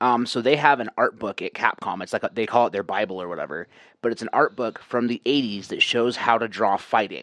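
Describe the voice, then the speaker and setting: A man speaks in an unremarkable speaking voice at medium pitch and a fairly quick pace, with ordinary pitch variation. The sound is dry and close with no echo, and the background is quiet. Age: 30s. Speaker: game development course creator and fighting game player. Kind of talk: casual chat.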